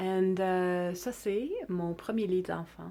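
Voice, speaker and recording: A woman with a fairly low, dark, mellow voice speaks at a fairly slow pace with fairly even intonation. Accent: Canadian. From Quebec (Mont-Saint-Hilaire), English-speaking. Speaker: artist and children's book author. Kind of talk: bilingual book introduction. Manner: hesitant, with fillers.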